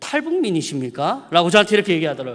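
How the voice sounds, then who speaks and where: This man's voice moves in very wide pitch swings. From South Korea, Mungyeong, North Gyeongsang. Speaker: preacher. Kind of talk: sermon. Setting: church. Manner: casual, conversational.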